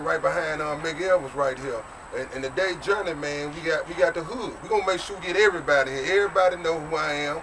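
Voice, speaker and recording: Speech races along at a very fast pace with ordinary pitch variation, set against noticeable background noise. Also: man, fairly high pitch for a man. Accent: American. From Jackson, Mississippi. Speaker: documentary maker. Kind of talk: casual documentary narration.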